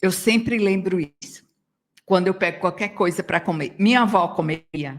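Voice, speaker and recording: At a moderate pace, a woman speaks with a normal speaking voice, a medium pitch and ordinary pitch variation. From Brazil, Northeast. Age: 60s. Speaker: yoga teacher and psychologist. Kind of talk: radio interview. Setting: radio studio.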